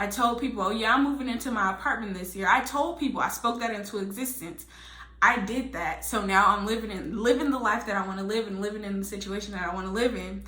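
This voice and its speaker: Amid audible room echo, a woman talks very fast in a fairly high voice with ordinary pitch variation. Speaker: lifestyle vlogger. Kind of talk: casual vlog monologue. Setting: home spare room.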